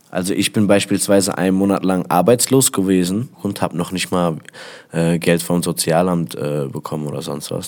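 Speaking at a moderate pace, a man uses a very deep, low pitch with ordinary variation. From Germany, Essen (Ruhr area). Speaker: rapper. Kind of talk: interview.

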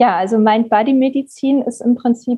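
A woman speaks in a somewhat breathy voice. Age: 30s. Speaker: psychologist and mind-body therapist. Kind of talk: interview.

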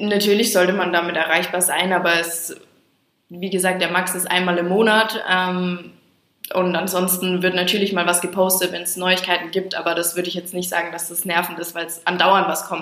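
With audible room echo, a woman at a medium pitch speaks at a moderate pace in a monotone, flat intonation. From Franconia, Germany. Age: 20s. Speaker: hotel trainee. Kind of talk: interview.

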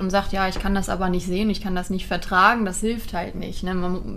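A woman's medium-pitched, monotone, flat delivery over noticeable background noise. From Germany. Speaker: animal welfare volunteer, dog trainer. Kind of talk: casual chat. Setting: recorded on location in Portugal.

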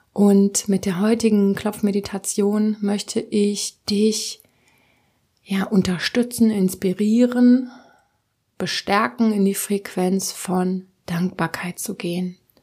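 A woman speaks at a very slow pace and medium pitch, somewhat breathy. Her tone is dark and mellow, with fairly even intonation. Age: 20s. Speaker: podcast host, tapping meditation guide. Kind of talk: guided meditation. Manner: calm.

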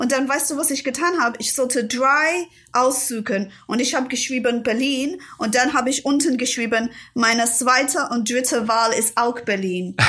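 In an English accent, a woman with a high-pitched voice and a bright, sharp tone talks at a moderate pace. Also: ordinary pitch variation. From London, England. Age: 40s. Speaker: author.

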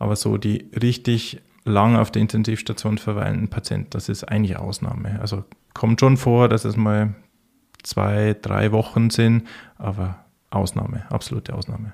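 A man speaks at a moderate pace in a flat monotone. The recording is very clean, with a silent background. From Bavaria, Bavarian Forest. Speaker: intensive care physician. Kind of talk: interview.

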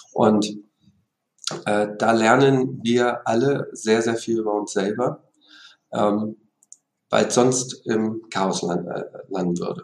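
A man talks at a medium pitch, his intonation fairly even. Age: 40s. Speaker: company executive. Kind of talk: interview.

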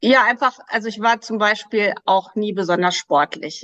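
An ordinary speaking voice from a woman, medium in pitch with ordinary pitch variation and a fairly slow pace, in a dry, close sound with no echo. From Germany, Krefeld (Lower Rhine). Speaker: weight loss coach. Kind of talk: interview.

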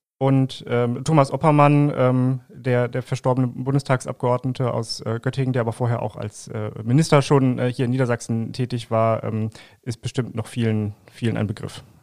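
With hardly any pauses, a man in a plain, everyday voice speaks at a moderate pace and medium pitch with fairly even intonation, in a dry, close sound with no echo. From Lower Saxony, Langenhagen near Hanover. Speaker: political podcast host, journalist. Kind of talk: interview.

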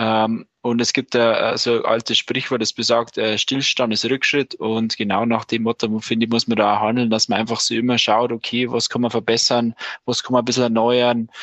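This man speaks at a moderate pace and medium pitch, his intonation monotone and flat, his loudness very even, with hardly any pauses. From Lower Bavaria, Landshut. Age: 20s. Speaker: master carpenter and company manager. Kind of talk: casual interview.

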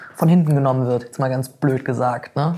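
A somewhat breathy woman's voice. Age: 30s. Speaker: blogger and freelance author. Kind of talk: casual interview.

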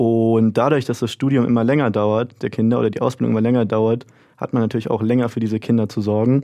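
At a very fast pace, a man speaks in a monotone, flat intonation at a medium pitch. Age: 20s. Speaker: student radio host. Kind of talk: casual discussion.

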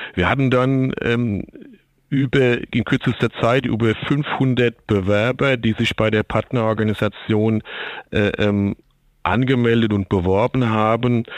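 A man talks at a very slow pace. His loudness stays very even, and his intonation is fairly even. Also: medium pitch for a man. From Germany, Aschaffenburg (Lower Franconia). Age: 50s. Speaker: logistics manager and kitchen installation expert. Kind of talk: interview. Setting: remote connection, not in studio. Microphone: sounds different from studio.

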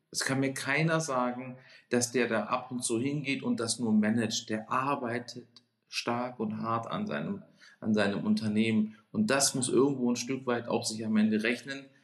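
The pitch moves in an ordinary way. The pace is moderate. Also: man, medium pitch for a man. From Baden, southern Germany (Lake Constance), then Hamburg from 19. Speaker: restaurant owner. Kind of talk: podcast interview. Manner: animated.

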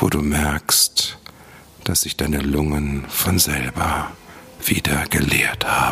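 A man whispering at a very slow pace in a calm, soothing tone, over noticeable background noise. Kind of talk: guided meditation. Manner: slow, soft, soothing, gentle; calm, unhurried, with long pauses.

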